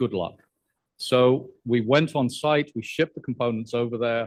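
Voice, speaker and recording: A man in a British accent talks at a medium pitch and moderate pace, with ordinary pitch variation and a dry, close sound with no echo. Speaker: professor. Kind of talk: lecture.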